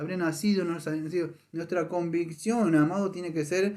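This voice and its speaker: This man's voice sits at a high pitch. His intonation is fairly even. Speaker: pastor. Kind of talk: sermon. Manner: fast.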